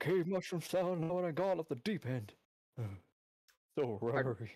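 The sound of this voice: A man puts on a character voice with a fairly high pitch. He keeps a moderate pace.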